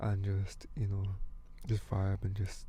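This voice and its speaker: A man talks with a dark, mellow tone that is somewhat breathy. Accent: British. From UK, African heritage. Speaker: podcast host and musician. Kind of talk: casual monologue. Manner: casual, hesitant.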